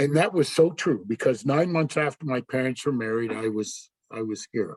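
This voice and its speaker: Dry and close with no echo, a man of medium pitch speaks at a moderate pace with lively intonation. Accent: Canadian Maritime. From Canada, Nova Scotia (Yarmouth). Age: 60s. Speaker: service club member. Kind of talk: personal talk to club. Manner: casual, halting with fillers.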